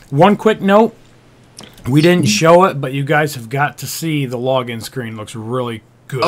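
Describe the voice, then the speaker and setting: Speaking with a plain, everyday voice, a man uses lively intonation at a fairly high pitch. He goes at a fairly slow pace, with big swings in loudness. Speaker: gaming video co-host. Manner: crude, joking.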